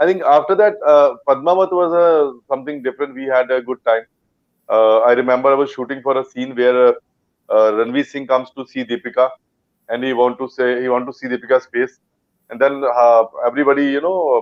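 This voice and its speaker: A man at a medium pitch and fairly quick pace, with ordinary pitch variation. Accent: Punjabi. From India, Punjab. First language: Punjabi. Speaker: actor. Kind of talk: interview. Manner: halting.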